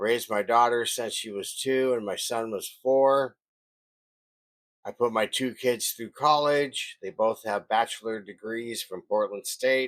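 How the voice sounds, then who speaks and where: Talking at a fairly slow pace, a man uses an ordinary speaking voice at medium pitch with fairly even intonation. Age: 60s. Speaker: woodworking shop owner. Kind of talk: scripted narration.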